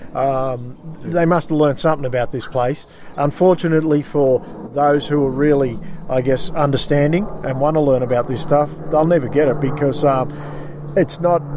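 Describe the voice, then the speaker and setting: A man with a fairly high pitch and fairly even intonation at a moderate pace, over noticeable background noise. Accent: Australian. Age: 40s. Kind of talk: casual interview. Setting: outdoors by a river.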